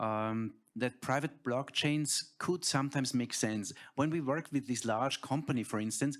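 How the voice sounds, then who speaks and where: On a very clean recording with a silent background, a man speaks at a fairly slow pace in a German accent. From Austria. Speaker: tech company founder. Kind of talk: panel discussion.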